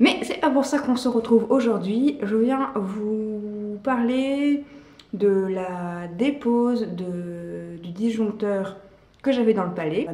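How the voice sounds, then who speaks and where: Noticeable background noise fills the recording. Over it, a woman talks very slowly. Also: fairly high pitch for a woman, ordinary pitch variation. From Belgium. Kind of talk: casual talk to camera.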